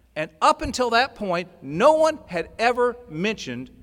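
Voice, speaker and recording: Pitched high for a man, his bright, sharp tone swings very widely up and down. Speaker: recovery speaker. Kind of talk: testimony. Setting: stage with audience.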